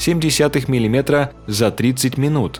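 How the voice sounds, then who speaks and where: Music plays in the background as a man speaks at medium pitch, at a moderate pace, with ordinary pitch variation. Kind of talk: news narration.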